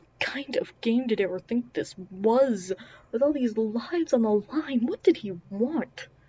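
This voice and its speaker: A woman with a fairly high voice talks at a fairly slow pace, her intonation lively and her loudness swinging widely. Noticeable background noise runs under her speech. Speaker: audiobook narrator. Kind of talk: reading aloud. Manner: mumbling at times.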